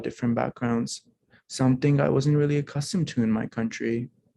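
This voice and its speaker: A man's medium-pitched voice in a non-native accent, with ordinary pitch variation at a moderate pace. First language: not English. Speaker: alumni speaker sharing immigrant story. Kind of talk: testimony speech. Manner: formal.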